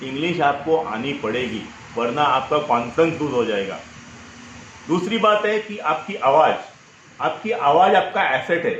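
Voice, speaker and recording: A man talks at fairly high pitch with very wide pitch swings. Noticeable background noise and audible room echo are present. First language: Marathi (speaking Hindi). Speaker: personal branding coach. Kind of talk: interview.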